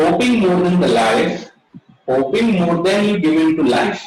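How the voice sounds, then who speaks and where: A man with an Indian accent speaks in a high voice. He talks at a fairly slow pace. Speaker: Ayurveda speaker at webinar. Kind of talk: lecture.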